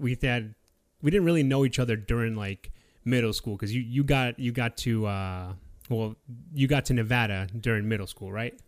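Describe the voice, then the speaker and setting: A man with a plain, everyday voice speaks at a fairly quick pace and a medium pitch, with fairly even intonation on a very clean recording with a silent background. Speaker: podcast host and military veteran. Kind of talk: casual interview. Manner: casual, repetitive filler speech.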